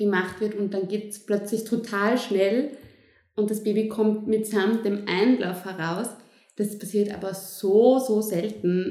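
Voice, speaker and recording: There is audible room echo as a woman speaks at a fairly slow pace. Her intonation is fairly even. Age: 20s. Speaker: midwife. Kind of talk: interview.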